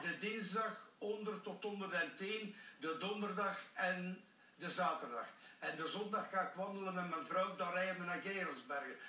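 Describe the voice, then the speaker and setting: Projecting a raised voice over noticeable background noise, a man with a high pitch and ordinary pitch variation speaks at a fairly slow pace. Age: 80s+. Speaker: former professional cyclist. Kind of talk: TV interview answer. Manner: upbeat.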